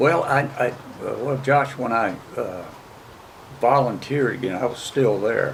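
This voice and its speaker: Noticeable background noise and audible room echo surround a man's voice. He talks at a moderate pace with ordinary pitch variation. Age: 70s. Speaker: military veteran. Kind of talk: interview. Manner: halting, with frequent uh fillers.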